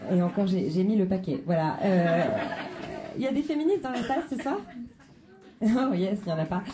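Woman at a medium pitch with very wide pitch swings, long and frequent pauses, a moderate pace, audible room echo and crowd noise behind her. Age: 30s. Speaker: stand-up comedian. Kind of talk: stand-up. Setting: stage with audience.

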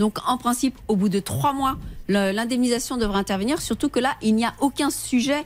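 An unremarkable speaking voice with ordinary pitch variation, at a fairly quick pace. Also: woman. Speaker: lawyer. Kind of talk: legal advice on radio. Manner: formal.

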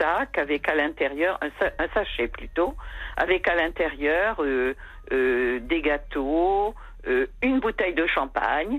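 Speaking at a very slow pace, a woman uses a fairly low voice with very wide pitch swings. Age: 80s+. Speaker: caller. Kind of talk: casual chat. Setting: phone call.

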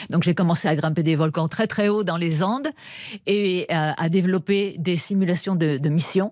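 Using an ordinary speaking voice, a woman talks at a moderate pace with ordinary pitch variation. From France. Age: 50s. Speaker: astrobiologist. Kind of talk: radio interview.

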